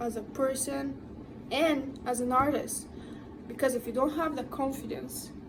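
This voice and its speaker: Slowish, high-pitched speech from a woman with a non-native accent, amid noticeable background noise and audible room echo. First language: not English. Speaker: tattoo artist, vlogger. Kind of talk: advice monologue to camera.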